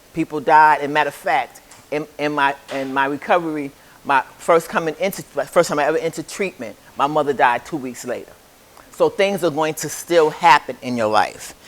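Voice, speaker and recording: Amid noticeable background noise, a man with a fairly high pitch talks at a fairly quick pace in an animated tone with ordinary pitch variation. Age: 70s. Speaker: recovery group speaker and community outreach worker. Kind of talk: motivational talk to a recovery group. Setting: group meeting in a recovery home. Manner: animated, interacting with the audience.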